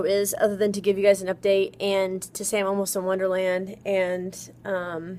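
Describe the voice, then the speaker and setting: Her pitch is medium for a woman. This woman talks at a moderate pace. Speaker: weight-loss surgery vlogger. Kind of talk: casual vlog. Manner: loud; chatty, filler-heavy.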